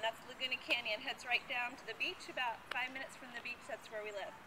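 A woman uses a raised, projected voice. Noticeable background noise is present. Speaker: fitness vlogger. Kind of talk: casual vlog chat. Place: street. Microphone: camera far.

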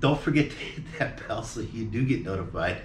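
With an American accent, a man talks at a moderate pace and medium pitch, with ordinary pitch variation. There is audible room echo and light background noise. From Phoenix, Arizona, US. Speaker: vlogger. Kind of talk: casual chat. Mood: relaxed, cheerful. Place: home room. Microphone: camera far.

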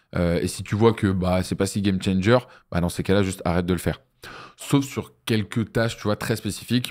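A man's very deep, low pitch and fairly even intonation over a quiet background. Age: 20s. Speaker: agency founder and entrepreneurship trainer; entrepreneurship trainer. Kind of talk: business masterclass interview. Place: studio. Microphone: studio mic.

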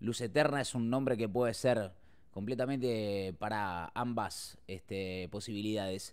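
A man's fairly low voice, animated in tone and fairly slow, with ordinary pitch variation, in a very clean recording against a silent background. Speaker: streamer. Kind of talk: live stream chat and video reactions.

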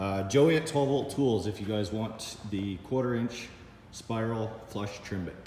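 There is audible room echo and light background noise. A man speaks at a fairly slow pace. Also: ordinary pitch variation. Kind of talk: tutorial. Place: workshop.

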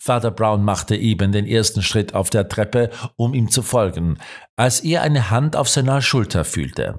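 An ordinary speaking voice, a man talks at a moderate pace and medium pitch with ordinary pitch variation and very even loudness, on a very clean recording with a silent background. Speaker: audiobook narrator. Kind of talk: audiobook narration, scripted reading of a crime story. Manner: measured, steady storytelling pace, shifting tone for dialogue and suspense; formal, literary delivery.

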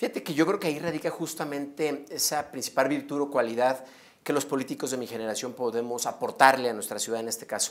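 The speech runs at a very fast pace. Pitch varies in an ordinary way. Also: man, fairly high pitch for a man. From Mexico, León, Guanajuato; Guanajuato, Mexico. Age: 30s. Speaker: mayoral candidate; candidate. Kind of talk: interview. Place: studio. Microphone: lapel.

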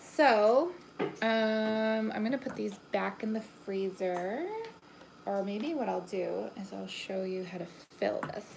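A woman talks at a very slow pace with ordinary pitch variation. Noticeable background noise runs behind her. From Canada. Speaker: pastry chef; home cook host. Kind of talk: live kitchen tutorial. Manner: casual and chatty. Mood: relaxed, chatty. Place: kitchen. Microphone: phone near.

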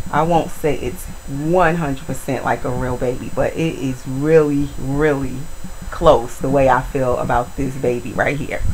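Under light background noise, a woman's very deep, low voice carries fairly even intonation. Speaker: video blogger, reborn doll collector. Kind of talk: casual vlog tutorial. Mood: warm, affectionate. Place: home room.

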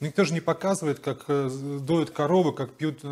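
A man talks in an ordinary speaking voice at a moderate pace, his pitch fairly high and his intonation fairly even. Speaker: interviewer. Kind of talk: interview, casual conversation. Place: home room.

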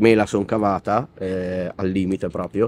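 In a dark, mellow tone, the voice runs flat and monotone at a moderate pace, dry with no echo. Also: man. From Italy. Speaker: rapper; interviewee. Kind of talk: interview. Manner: halting. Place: street.

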